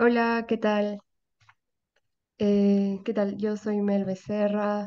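A woman's dark, mellow voice in a monotone, flat intonation at a very slow pace. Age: 20s. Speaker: course participant, youth collective coordinator. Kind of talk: self-introduction. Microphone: video call.

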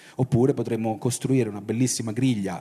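This man, medium in pitch, talks at a fairly quick pace. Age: 50s. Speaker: science fiction writer and publisher; guest. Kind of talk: talk at a festival. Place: hall. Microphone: handheld.

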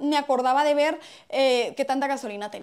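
A woman talks in an animated tone. The background is quiet. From Mexico, Hermosillo, Sonora; Sonora, Mexico. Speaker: comedy YouTuber. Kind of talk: casual vlog monologue. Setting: at home, in bedroom. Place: home room. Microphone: lapel.

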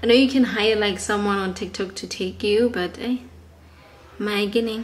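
The speaker is a woman at a moderate pace. Her pitch varies in an ordinary way. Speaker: vlogger. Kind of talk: casual vlog chat. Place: home room. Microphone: phone near.

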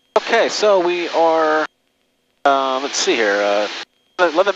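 A man's voice, fairly high in pitch, makes very wide pitch swings. There is noticeable background noise, and the sound is dry with no echo. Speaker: private pilot and aviation video creator. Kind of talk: cockpit vlog narration mixed with clipped air traffic radio calls; casual flight commentary. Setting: in a small airplane cockpit, on headset radio. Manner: terse radio phraseology, polite 'sir' to controllers; casual, rambling with frequent 'uh' fillers. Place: plane. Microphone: headset.

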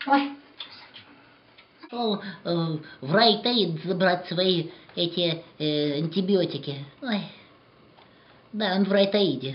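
Putting on a character voice, a man with a high pitch talks at a fairly slow pace with lively intonation and long, frequent pauses. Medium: stage. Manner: nagging, melodramatic.

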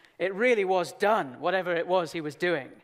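Against a quiet background, a man talks in a high pitch for a man. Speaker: preacher. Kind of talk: sermon. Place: hall. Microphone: headset.

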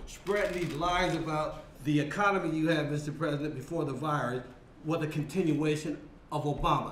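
Speaking at a moderate pace with an American accent, a man with a fairly high pitch is heard amid audible room echo and light background noise. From US Midwest, St. Louis; US Midwest. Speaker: political consultant. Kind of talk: roundtable remarks. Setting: roundtable with press present. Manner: animated. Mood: forceful, critical. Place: meeting room.

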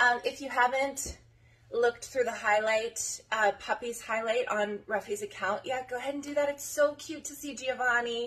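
A woman with an American accent speaks at a moderate pace. Her voice is fairly high, with ordinary pitch variation. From rural Colorado. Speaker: dog breeder. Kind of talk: casual vlog talk to camera. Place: home room. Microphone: phone near.

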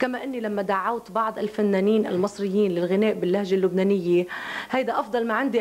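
A woman with a Lebanese accent at a very fast pace, her intonation fairly even. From Lebanon. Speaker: singer. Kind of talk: interview answer. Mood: defensive, earnest, explaining herself. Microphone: handheld.

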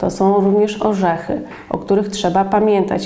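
At a moderate pace, a woman is speaking. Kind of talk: educational explanation. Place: office. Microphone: lapel.

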